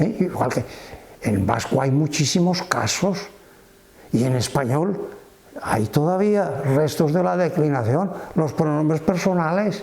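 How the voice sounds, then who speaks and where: A man with a Valencian accent speaks at a very slow pace with long, frequent pauses, keeping a fairly high pitch, lively intonation and very even loudness. Audible room echo and noticeable background noise fill the recording. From Valencia region, Spain (Cullera). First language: Valencian (speaking Spanish). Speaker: retired Greek and Latin teacher. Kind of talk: interview.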